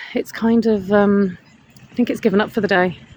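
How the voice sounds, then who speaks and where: A woman with a British accent speaks at a medium pitch with fairly even intonation. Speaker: counsellor vlogger. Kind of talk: casual vlog monologue. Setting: outdoors in a hammock. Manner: fast.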